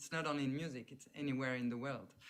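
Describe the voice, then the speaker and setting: In a French accent, a woman speaks with a very deep, low pitch. Her intonation stays fairly even. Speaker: sociologist, professor. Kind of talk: talk in online panel discussion. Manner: halting.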